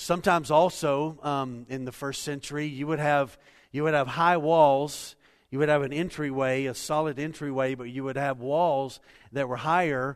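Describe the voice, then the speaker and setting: A man with an unremarkable speaking voice and fairly high pitch, at a moderate pace with fairly even intonation, against a quiet background. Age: 50s. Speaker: pastor. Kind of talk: sermon. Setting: church.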